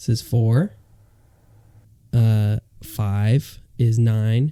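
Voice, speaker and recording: A man speaks in a bored tone that is dark and mellow, with fairly even intonation. The sound is dry and close, with no echo. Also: medium pitch for a man. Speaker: podcast co-host. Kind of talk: casual chat. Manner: flat, bored-sounding.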